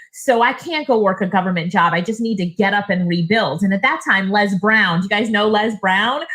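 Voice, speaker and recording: A woman with a medium-pitched voice speaks in an animated tone at a fairly quick pace. She hardly pauses, and noticeable background noise is present. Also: ordinary pitch variation. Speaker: online business coach and speaker. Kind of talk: webinar presentation. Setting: online seminar with live chat. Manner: fast.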